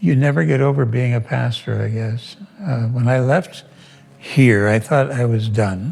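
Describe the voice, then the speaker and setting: With music in the background, a man speaks fairly slowly at a medium pitch and ordinary pitch variation. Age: 80s+. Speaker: retired pastor. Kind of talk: interview. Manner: halting.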